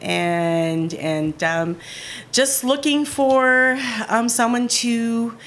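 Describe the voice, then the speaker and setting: Against noticeable background noise, a woman talks very slowly. Her voice is fairly high and her pitch swings very widely. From Southern California. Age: 60s. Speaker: podcast guest. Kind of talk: interview. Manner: halting.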